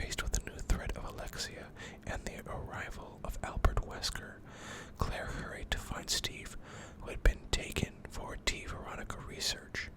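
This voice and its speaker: Moderately paced whispering over noticeable background noise. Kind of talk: reading a character biography. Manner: whispered.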